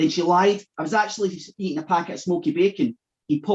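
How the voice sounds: Someone reads in a natural reading voice, the intonation lively and the background quiet.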